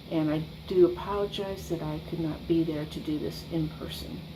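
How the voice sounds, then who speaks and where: The woman's speech comes at a fairly slow pace. Room echo is audible around her. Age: 60s. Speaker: church member giving testimony. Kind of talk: testimony. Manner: halting, with frequent ums.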